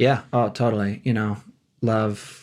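In an American accent, a man speaks at a fairly slow pace with a fairly low pitch. His intonation is monotone and flat, on a very clean recording with a silent background. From Wisconsin. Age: 30s. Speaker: musician and songwriter, guest host. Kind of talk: casual chat.

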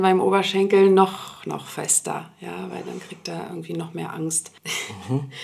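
Noticeable background noise surrounds a woman who talks fairly slowly. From Berlin, Germany (Swedish-born). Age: 40s. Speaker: interview guest sharing her dating story. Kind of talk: personal interview conversation. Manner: hesitant, many fillers.

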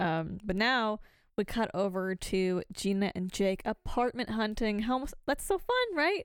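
In a very clean recording with a silent background, a woman with an ordinary speaking voice talks at a fairly slow pace, her fairly high pitch showing ordinary variation and her loudness very even. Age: 20s. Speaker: podcast co-host. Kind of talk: casual chat.

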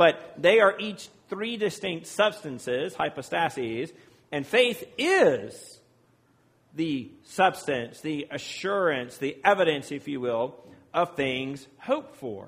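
In a very clean recording with a silent background, a man with an American accent talks at a very slow pace, his fairly high pitch moving in very wide swings. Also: big swings in loudness. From Virginia. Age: 40s. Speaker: priest. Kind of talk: sermon. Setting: church.

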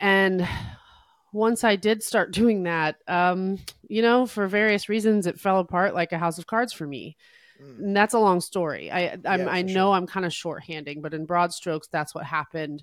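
A woman with a New Jersey accent and ordinary pitch variation, on a very clean recording with a silent background. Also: medium pitch for a woman, moderate pace. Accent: American, New Jersey. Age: 40s. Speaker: singer-songwriter. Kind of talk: casual chat.

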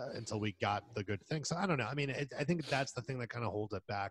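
A man speaks at a medium pitch with lively intonation and a somewhat breathy voice. The recording is very clean, with a silent background and a dry, close sound with no echo. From Spain. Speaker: film podcast co-host. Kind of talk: casual chat.

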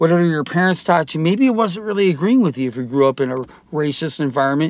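A man talks with lively intonation. His pitch is fairly high. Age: 50s. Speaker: interview guest sharing personal story. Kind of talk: casual interview. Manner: halting, many fillers and repeats.

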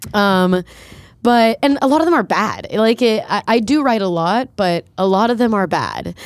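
Speaking at a moderate pace in an American accent, a woman with a fairly high pitch and an unremarkable speaking voice uses lively intonation and very even loudness on a very clean recording with a silent background. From South Florida. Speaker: musician. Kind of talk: casual chat.

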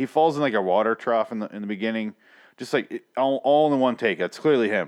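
A normal speaking voice from a man with an American accent, fairly quick in pace over a quiet background. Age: 30s. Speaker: podcast host. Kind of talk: casual chat.

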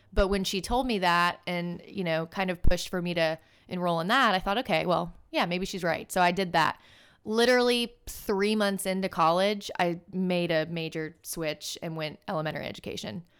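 Recorded very cleanly against a silent background, a woman with an unremarkable speaking voice and a fairly low pitch talks at a moderate pace with ordinary pitch variation. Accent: American. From US South, Birmingham, Alabama. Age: 20s. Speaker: training and development analyst, former teacher. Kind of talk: casual interview chat.

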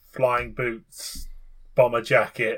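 A man speaks at a very slow pace. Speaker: podcast co-host. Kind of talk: casual chat.

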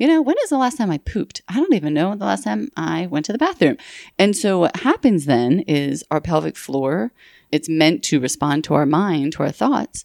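In a very clean recording with a silent background and a dry, close sound with no echo, a woman with a fairly low pitch and vocal fry speaks at a moderate pace with very wide pitch swings. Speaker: pelvic physical therapist and podcast host. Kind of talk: casual interview conversation. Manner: warm, enthusiastic.

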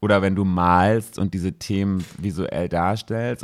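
Over a silent background in a very clean recording, a man talks with a very deep, low pitch and fairly even intonation. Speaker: podcast co-host. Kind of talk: casual chat.

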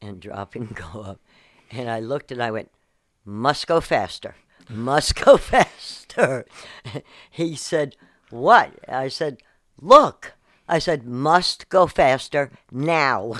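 On a very clean recording with a silent background, a woman with a very deep, low pitch speaks very slowly, with lively intonation, big swings in loudness and long, frequent pauses. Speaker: retired show booker, host's mother. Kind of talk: casual chat.

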